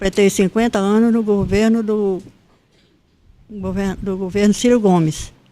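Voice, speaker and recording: A woman's dark, mellow tone holds a monotone, flat intonation, broken by long, frequent pauses. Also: medium pitch for a woman, fairly slow pace. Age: 80s+. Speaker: retired school principal. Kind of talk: interview, life story. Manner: halting, with repetitions.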